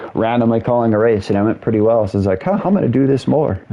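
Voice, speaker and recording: Over noticeable background noise, a man talks at a very fast pace in a medium pitch with ordinary pitch variation. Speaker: gaming streamer. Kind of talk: casual chat. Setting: live stream with headset.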